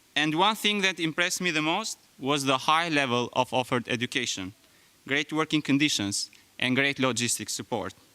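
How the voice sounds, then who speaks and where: A man with an Albanian accent talks at a moderate pace in a fairly high pitch, his bright, sharp tone carrying lively intonation at very even loudness. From Albania (Skrapar, then Tirana). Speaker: graduating student. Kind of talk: speech.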